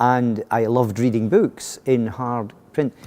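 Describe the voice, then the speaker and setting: A man's dark, mellow tone in a Scottish accent. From Scotland. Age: 60s. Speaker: education consultant. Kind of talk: interview answers. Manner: halting, many fillers and restarts.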